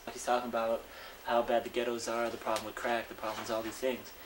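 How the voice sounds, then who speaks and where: A man talks at a very fast pace with big swings in loudness. Noticeable background noise can be heard. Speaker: interviewee. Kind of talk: interview testimony.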